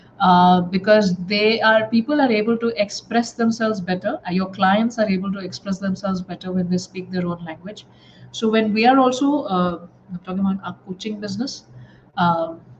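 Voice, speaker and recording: Over noticeable background noise, a woman at a medium pitch speaks at a moderate pace with ordinary pitch variation. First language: not English. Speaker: life coach trainer. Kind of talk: live online class. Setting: live stream with comments. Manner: halting, many filler words.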